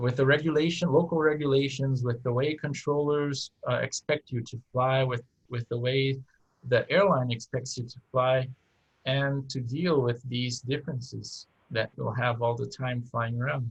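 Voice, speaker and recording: At a moderate pace, a man with a Brazilian accent speaks at medium pitch in a somewhat breathy voice. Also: fairly even intonation, dry, close sound with no echo. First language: Portuguese. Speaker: airline captain. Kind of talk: interview conversation. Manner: halting, many fillers and restarts.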